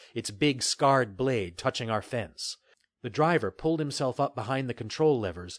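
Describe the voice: Plain reading aloud with ordinary pitch variation, over a quiet background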